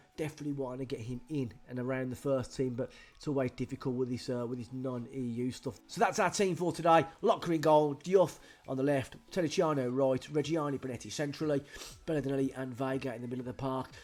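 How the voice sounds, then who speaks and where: At a very fast pace, a man with a British accent speaks at a medium pitch with ordinary pitch variation. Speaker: gaming youtuber. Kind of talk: game commentary. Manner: animated.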